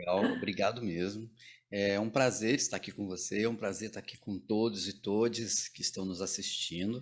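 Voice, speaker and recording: The man's fairly low voice moves at a moderate pace, and his intonation is fairly even. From Goiânia, Goiás, central Brazil (born in Maranhão, moved at age 4). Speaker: theatre teacher and director. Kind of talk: casual interview chat. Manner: halting, with repetitions.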